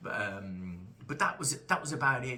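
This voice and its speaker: A man with a British accent at a fairly slow pace, with audible room echo and noticeable background noise. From UK. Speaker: wrestling commentator YouTuber. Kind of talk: casual monologue vlog. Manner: hesitant, many fillers.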